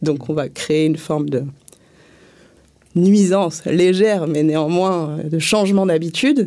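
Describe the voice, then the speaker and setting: Her tone is dark and mellow, and this woman's pitch is fairly low with ordinary variation. She moves at a fairly slow pace, with long, frequent pauses. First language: not French (speaking French). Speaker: street theatre and circus artist. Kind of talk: panel debate. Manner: hesitant, many fillers.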